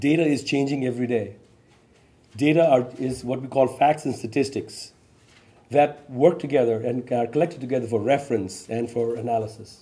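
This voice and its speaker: A man speaks at medium pitch. His tone is dark and mellow. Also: moderate pace. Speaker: state chief information officer, panel facilitator. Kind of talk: panel moderation. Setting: stage with audience. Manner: enthusiastic. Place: meeting room. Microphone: podium.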